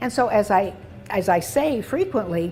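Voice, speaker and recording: A woman at medium pitch with lively intonation and music in the background. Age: 80s+. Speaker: doctor, former trauma surgeon. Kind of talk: interview answer.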